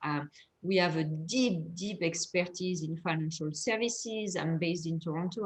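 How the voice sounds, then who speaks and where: Speaking with a French accent, a woman sounds somewhat breathy, her pitch varying in an ordinary way. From France. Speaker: fintech investor. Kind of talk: panel discussion.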